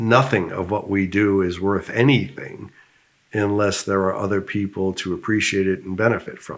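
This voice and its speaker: An unremarkable speaking voice, a man's, fairly low in pitch with an American accent, moves at a moderate pace with fairly even intonation and big swings in loudness. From United States. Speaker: business founder. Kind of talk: interview.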